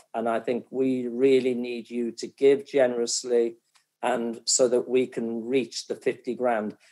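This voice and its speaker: A man with a Welsh accent speaks at a fairly slow pace, his medium-pitched voice dark and mellow in tone. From North Wales. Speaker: event host and football executive. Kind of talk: fundraising appeal; casual chat.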